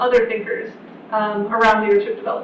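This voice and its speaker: A woman talks with fairly even intonation. Audible room echo and noticeable background noise surround her. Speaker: university program director. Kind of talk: information session presentation. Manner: fast.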